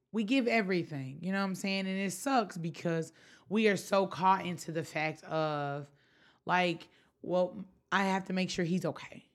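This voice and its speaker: With a Memphis accent, a woman speaks at a medium pitch with ordinary pitch variation on a very clean recording with a silent background. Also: moderate pace. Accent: Southern US, Memphis. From US South, Memphis, Tennessee. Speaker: floral designer and blogger. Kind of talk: casual chat.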